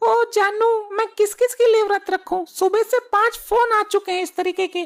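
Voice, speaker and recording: A woman uses a cartoonish character voice at an extremely high pitch, delivered in a monotone with flat intonation. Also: moderate pace. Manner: brash, bargaining.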